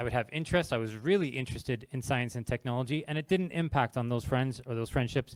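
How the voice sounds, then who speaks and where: Ordinary pitch variation comes at a fairly quick pace. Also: man. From Canada. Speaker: games industry talk speaker. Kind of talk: informal talk to live audience. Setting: stage with audience.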